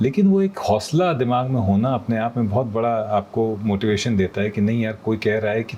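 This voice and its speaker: A man speaks in a dark, mellow tone. His pitch shows ordinary variation. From Kanpur, India. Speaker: voice-over artist. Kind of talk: interview answer.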